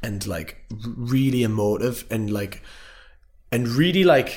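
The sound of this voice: A man at a medium pitch, fairly slow pace, slightly mellow tone and lively intonation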